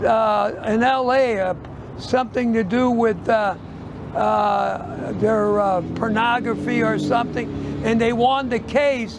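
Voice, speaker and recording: A man with an American accent talks at a very slow pace, his loudness very even. Room echo is audible and background noise is noticeable. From US Midwest, St. Louis. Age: 80s+. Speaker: retired shoe store owner. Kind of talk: street interview. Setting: outdoors on the street. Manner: halting.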